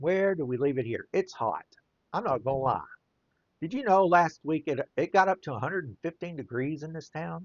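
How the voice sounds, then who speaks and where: At a moderate pace, a man with a Southern US accent speaks in a fairly high pitch. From US mid-south. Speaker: children's book illustrator and playwright. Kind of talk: casual monologue while drawing. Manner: rambling, conversational.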